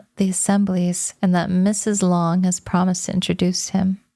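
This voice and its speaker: Soft-spoken and gentle in tone, a woman talks in a dark, mellow voice with monotone, flat intonation. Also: very clean recording, silent background. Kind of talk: narrated novel reading. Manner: soft-spoken, gentle.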